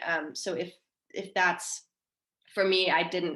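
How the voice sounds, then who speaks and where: A woman speaks with an American accent at a medium pitch. Her intonation is flat and monotone. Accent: American-sounding. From Denmark. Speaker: marine mammal researcher. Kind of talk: panel discussion.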